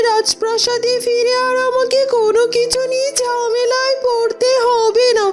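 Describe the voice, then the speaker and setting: A woman puts on a cartoonish character voice at an extremely high pitch, flat and monotone. She speaks at a fairly slow pace over clear background noise. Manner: brisk, practical.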